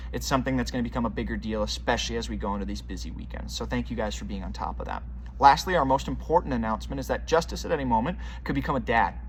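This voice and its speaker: Speaking very fast, a man with a very deep, low pitch is heard amid noticeable background noise and audible room echo. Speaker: children's ministry leader. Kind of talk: volunteer announcements video. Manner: upbeat.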